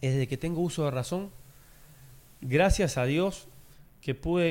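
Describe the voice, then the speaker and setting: In an ordinary speaking voice, a man talks at a moderate pace with ordinary pitch variation. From Uruguay. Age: 40s. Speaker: former footballer and sports commentator. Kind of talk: casual interview chat.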